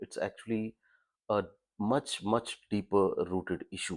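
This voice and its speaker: Very clean, with a silent background, the recording has a man speaking in an Indian accent. His pace is fairly slow and his pitch varies in an ordinary way. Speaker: vlogger, former business owner. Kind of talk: casual vlog commentary. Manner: halting, with fillers.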